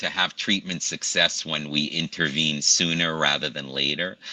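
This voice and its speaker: Moderate pace from a man with an American accent, noticeable background noise behind him. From Brooklyn, New York. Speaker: pain medicine doctor. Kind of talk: interview. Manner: halting.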